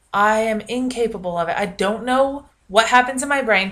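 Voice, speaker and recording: A woman's raised, projected voice carries a bright, sharp tone at a fairly quick pace. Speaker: vlogger, university student. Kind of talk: casual vlog monologue. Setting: home video recording, bedroom. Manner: loud, projecting; frequent fillers (um, uh).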